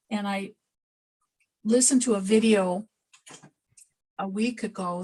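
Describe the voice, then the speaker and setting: A woman's somewhat breathy voice. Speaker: pysanky artist demonstrating egg decorating. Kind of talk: live demonstration over video call. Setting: video call. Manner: mumbling, a bit quiet; casual, halting with self-corrections. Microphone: too quiet.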